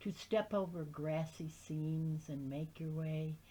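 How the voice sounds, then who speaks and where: A woman's very deep, low voice, dark and mellow, somewhat breathy and at a very slow pace. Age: 70s. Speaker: amateur reader of literature. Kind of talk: reading aloud; casual introduction.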